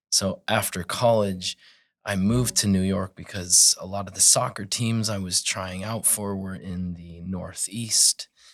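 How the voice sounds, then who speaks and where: In a very clean recording with a silent background, a man speaks in a normal speaking voice, fairly low in pitch, with fairly even intonation at a fairly slow pace. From northern Colorado. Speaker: massage therapist. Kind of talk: casual interview chat.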